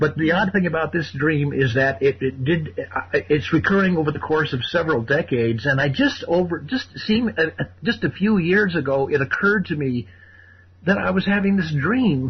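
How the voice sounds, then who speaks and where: Vocal fry runs through a man's fairly high voice as it moves in very wide pitch swings. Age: 60s. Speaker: caller. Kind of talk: call-in radio conversation. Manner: halting, many fillers and repetitions.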